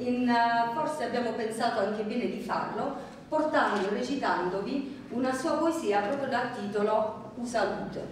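A woman's fairly high voice with ordinary pitch variation, in strong room echo with light background noise. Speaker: poetry reader presenting dialect poems. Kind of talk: introducing a poetry reading to a live audience. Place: hall. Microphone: camera far.

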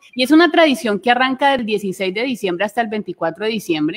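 A woman with a Colombian accent, fairly high-pitched, lively in intonation, at a moderate pace. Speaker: travel show co-host. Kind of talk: live panel chat.

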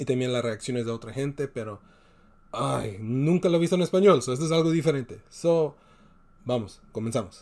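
Speaking with a non-native accent, a man keeps a moderate pace. His tone is animated and his intonation lively. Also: medium pitch for a man. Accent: non-native Spanish, heritage speaker. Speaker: YouTube movie reaction host. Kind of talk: trailer reaction commentary; casual vlog chat.

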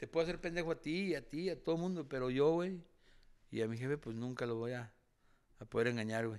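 In a quiet background, a man talks at a fairly quick pace with lively intonation. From Durango, Mexico. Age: 40s. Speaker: retired boxer; guest. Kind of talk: casual interview. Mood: candid, reflective storytelling. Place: studio. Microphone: studio mic.

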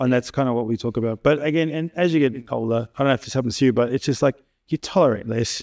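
A man talking at a very fast pace with lively intonation, over a quiet background. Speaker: podcast host. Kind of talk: casual podcast conversation. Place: studio.

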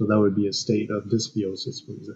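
With a French accent, this man delivers his lines. His voice sits fairly low. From Quebec, Canada. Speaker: animal microbiome professor; podcast guest. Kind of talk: interview. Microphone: headset.

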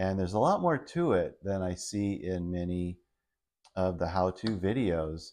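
This man speaks fairly slowly in a fairly low pitch. His tone is dark and mellow, and the background is quiet. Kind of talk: tutorial. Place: garage.

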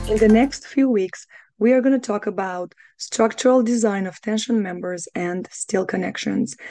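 A woman with a fairly high pitch and a dark, mellow tone speaks at a moderate pace with ordinary pitch variation. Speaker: engineering exam tutor. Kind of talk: tutorial explanation.

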